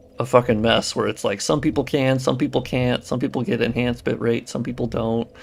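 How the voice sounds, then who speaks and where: A man's medium-pitched voice at a moderate pace with ordinary pitch variation, a plain, everyday voice. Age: 30s. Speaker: gaming streamer and modder. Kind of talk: live stream chat. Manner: casual, swears a lot.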